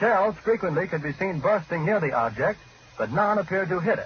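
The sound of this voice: A man speaks at a high pitch with lively intonation. His pace is fairly quick.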